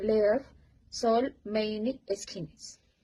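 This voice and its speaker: Speech unfolds at a very slow pace. There is a somewhat breathy quality to the voice. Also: woman. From Colombia, Bogotá. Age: 30s. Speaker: English learner. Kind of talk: reading aloud.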